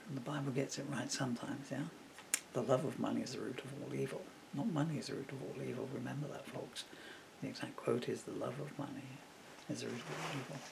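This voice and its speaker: Amid noticeable background noise and audible room echo, a man races along at a very fast pace. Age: 60s. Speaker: poet and lyricist. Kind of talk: casual monologue. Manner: halting.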